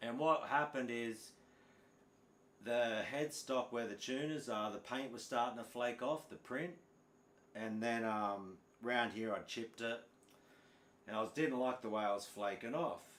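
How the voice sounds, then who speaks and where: A man speaks at a moderate pace with ordinary pitch variation. He leaves long, frequent pauses. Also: medium pitch for a man. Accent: strong Australian. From Australia. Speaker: guitar teacher. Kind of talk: live stream chat. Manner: casual, halting.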